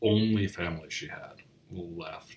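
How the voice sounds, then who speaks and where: Somewhat breathy, a man's voice keeps to a fairly even intonation. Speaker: grandchild of a Holocaust survivor, channel host. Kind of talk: casual commentary to camera.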